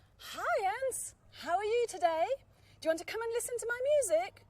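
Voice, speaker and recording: In a put-on character voice, a woman squeaks at an extremely high pitch, moving at a fairly quick pace with lively intonation. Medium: read story.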